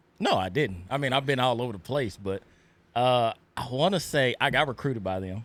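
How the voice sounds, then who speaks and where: With lively intonation and a Texas accent, a man talks fairly quickly at a medium pitch. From Texas Panhandle, Plainview. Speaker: podcast co-host. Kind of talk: casual chat. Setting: studio.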